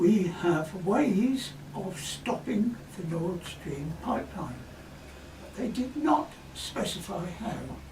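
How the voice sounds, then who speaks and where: Very slow speech over noticeable background noise. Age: 80s+. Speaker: corrosion engineer. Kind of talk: scripted narration.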